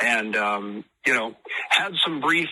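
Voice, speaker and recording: A man speaks in an American accent. Noticeable background noise runs underneath. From US (Idaho). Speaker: musician, tribute act singer. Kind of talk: radio interview. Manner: halting, many fillers.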